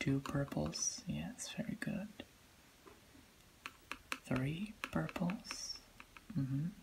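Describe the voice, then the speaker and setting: Calm and soft-spoken, the speaker moves at a very slow pace with long, frequent pauses against noticeable background noise. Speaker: color test host. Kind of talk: ASMR role-play color test. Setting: lo-fi, low-quality recording. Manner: soft-spoken, calm. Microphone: phone near.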